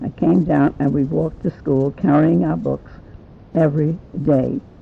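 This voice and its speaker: A woman with an American accent, very deep and low in pitch, with vocal fry, very wide pitch swings and a moderate pace. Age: 80s+. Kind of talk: family memoir recollection.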